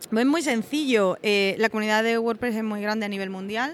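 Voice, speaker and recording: A woman's ordinary speaking voice at medium pitch, with ordinary variation in pitch. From Andalusia, Spain (Osuna, Seville). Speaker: WordPress community manager. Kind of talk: podcast interview. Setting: recording in a palace venue with background noise.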